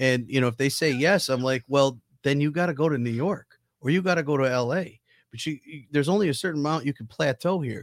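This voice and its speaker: In a very clean recording with a silent background and a dry, close sound with no echo, a man with a normal speaking voice talks at a fairly quick pace, his fairly high pitch showing ordinary pitch variation. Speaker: comedy club co-founder and contest judge. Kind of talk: casual chat. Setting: studio.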